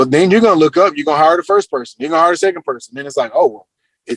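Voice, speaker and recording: A man's fairly high, lively voice at a very fast pace, dry and close with no echo. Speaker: real estate coach. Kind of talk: group coaching Q&A.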